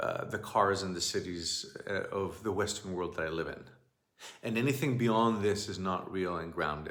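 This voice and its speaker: With a Greek accent, a man talks at a moderate pace and a fairly low pitch, using ordinary pitch variation in a room with audible echo. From Greece. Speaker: shamanic teacher. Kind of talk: monologue talk. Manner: halting.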